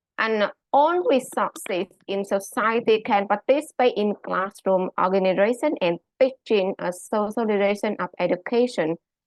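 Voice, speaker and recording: Speaking with a Vietnamese accent, a woman uses lively intonation at a medium pitch and a moderate pace. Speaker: high school English teacher. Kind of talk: conference presentation. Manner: halting, many fillers.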